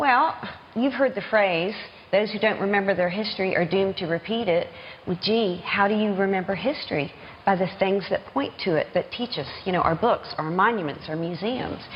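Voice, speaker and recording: Over noticeable background noise, a woman with a Southern US accent talks at a moderate pace in a medium pitch, using ordinary pitch variation. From US South, Norfolk, Virginia. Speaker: children's author. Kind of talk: TV news interview.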